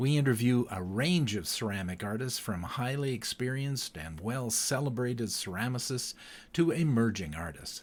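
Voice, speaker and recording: A man with an ordinary speaking voice talks at medium pitch and a moderate pace, his intonation lively. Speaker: podcast host. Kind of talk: podcast intro.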